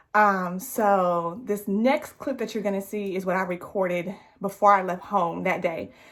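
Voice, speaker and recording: A woman with a plain, everyday voice speaks at a medium pitch and a fairly slow pace, recorded very cleanly against a silent background. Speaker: vlogger. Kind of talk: casual vlog narration.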